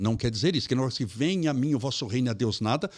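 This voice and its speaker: Here is a man with an ordinary speaking voice, medium pitch, and lively intonation. The sound is dry and close with no echo, in a very clean recording with a silent background. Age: 60s. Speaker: spiritist lecturer. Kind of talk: interview conversation.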